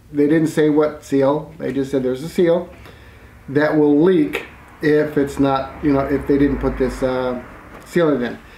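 A man talking at a fairly slow pace with ordinary pitch variation, audible room echo and light background noise. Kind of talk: casual explanatory vlog talk. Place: garage. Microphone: camera far.

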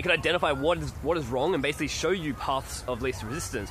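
Talking very fast with an Australian accent and ordinary pitch variation, the voice sounds dry with no echo over light background noise. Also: man. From Australia, country New South Wales. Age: 20s. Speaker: video blogger; vlogger. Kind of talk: vlog monologue. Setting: outdoors in a park. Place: forest. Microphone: phone near.

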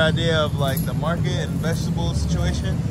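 A man's voice sounds dry, with no echo. Music plays in the background. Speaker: family travel vlogger. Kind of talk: casual vlog chat. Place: market. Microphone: phone near.

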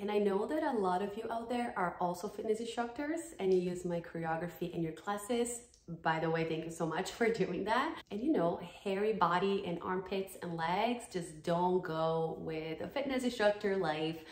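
Lively intonation and a moderate pace mark this speech in a Brazilian accent, heard with audible room echo. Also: woman, medium pitch for a woman. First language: Portuguese. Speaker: dance fitness YouTuber. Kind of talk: sponsored product review. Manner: animated. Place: home room. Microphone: phone near.

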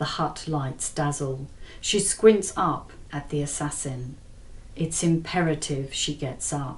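Somewhat breathy, a woman talks at a very slow pace with a very deep, low pitch and ordinary pitch variation. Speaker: author reading from own novel. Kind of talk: audiobook-style thriller reading. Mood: tense suspenseful narration. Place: home room.

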